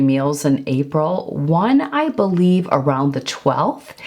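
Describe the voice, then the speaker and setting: Background noise can be clearly noticed. Pitch shifts in an ordinary manner. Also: woman. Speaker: lifestyle and fitness vlogger. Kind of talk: casual vlog talk. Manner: conversational with fillers.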